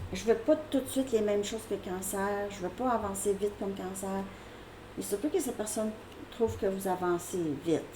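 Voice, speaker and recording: A woman's medium-pitched voice at a fairly quick pace over noticeable background noise. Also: ordinary pitch variation. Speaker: tarot reader. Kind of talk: tarot reading. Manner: casual, hesitant with fillers.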